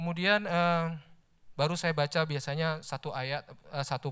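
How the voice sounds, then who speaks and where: In a quiet background, a man with an unremarkable speaking voice talks at a moderate pace with fairly even intonation. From Indonesia. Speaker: lay preacher, office employee; lay preacher. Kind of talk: sermon. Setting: church service. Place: church. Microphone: handheld.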